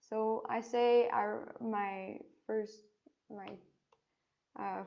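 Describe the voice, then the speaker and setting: A woman speaks with a French accent at a medium pitch. Her pitch varies in an ordinary way. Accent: French accent, English rusty. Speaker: biology student. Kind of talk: online Q&A session. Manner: halting, many fillers.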